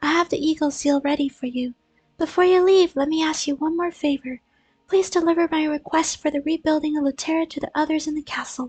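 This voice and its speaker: A put-on character voice, high-pitched and squeaky, at a fairly quick pace. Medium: game stream. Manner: reading aloud.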